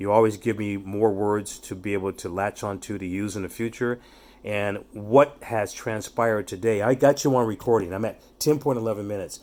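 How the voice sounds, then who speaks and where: This man has an unremarkable speaking voice, pitched fairly low. He talks at a fairly quick pace with fairly even intonation. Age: 60s. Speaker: youth development speaker. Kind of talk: casual chat.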